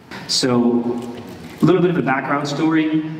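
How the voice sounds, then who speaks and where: Light background noise and audible room echo surround a man speaking at a fairly slow pace. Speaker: pastor. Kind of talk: sermon. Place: church.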